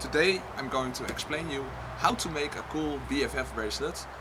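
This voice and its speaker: Amid noticeable background noise and audible room echo, a man talks at a moderate pace and fairly high pitch with fairly even intonation. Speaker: crafts YouTuber. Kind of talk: tutorial. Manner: halting.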